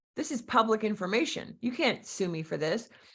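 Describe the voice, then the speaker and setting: A woman with a Philadelphia accent speaks at a moderate pace in an animated, bright and sharp tone, her medium pitch showing ordinary variation and some vocal fry, on a very clean recording with a silent background. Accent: Philadelphia-area. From Philadelphia area, Pennsylvania (Berks County, part Pennsylvania Dutch). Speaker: real estate agent and business coach. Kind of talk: interview with personal stories.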